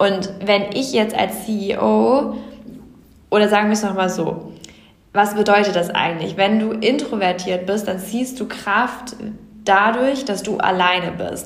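A woman with a medium-pitched voice talks at a very slow pace in fairly even intonation. Audible room echo and noticeable background noise surround her. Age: 20s. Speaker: startup co-founder. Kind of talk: interview.

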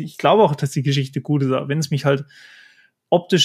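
Recorded very cleanly against a silent background, the voice is somewhat breathy and keeps a fairly even intonation. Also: man. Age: 20s. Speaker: manga artist and tattoo artist. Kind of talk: interview.

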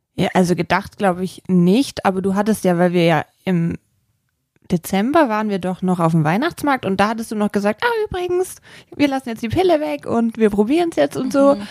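With a dry, close sound and no echo, a woman of medium pitch for a woman talks at a fairly quick pace with very wide pitch swings. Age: 30s. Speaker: visual merchandising designer. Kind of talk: casual chat.

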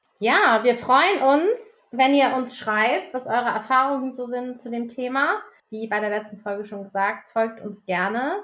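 Lively intonation and big swings in loudness at a fairly slow pace, with hardly any pauses. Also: woman, high pitch for a woman. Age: 40s. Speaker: podcast co-host. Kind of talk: casual chat.

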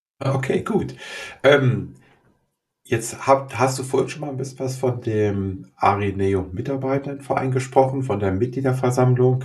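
A man speaks at a fairly slow pace in a medium-pitched, somewhat breathy voice with ordinary pitch variation. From Germany, Göttingen. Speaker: podcast host, organisational consultant. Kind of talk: interview. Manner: halting.

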